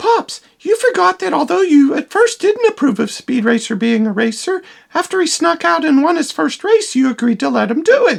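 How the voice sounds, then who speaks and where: Using a cartoonish character voice, a woman speaks at a high pitch and a moderate pace with very wide pitch swings. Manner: dry, sarcastic.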